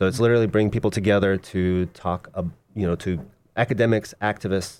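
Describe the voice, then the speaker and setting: In a very clean recording with a silent background, a man with a fairly low pitch speaks in a normal speaking voice at a moderate pace with ordinary pitch variation. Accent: American. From Russia and South Florida. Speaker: poet and novelist. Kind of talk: casual interview.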